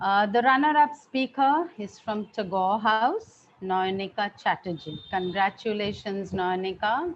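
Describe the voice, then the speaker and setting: Using a normal speaking voice, a woman talks at medium pitch and a fairly slow pace, with lively intonation and hardly any pauses. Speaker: school principal. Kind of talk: prize-giving speech.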